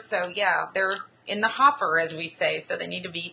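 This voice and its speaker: A woman with an American accent over light background noise. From US South, Austin, Texas; Texas. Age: 30s. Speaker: blogger and travel show host; blogger, travel show host. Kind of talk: casual interview. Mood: relaxed, conversational. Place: home room. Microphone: video call.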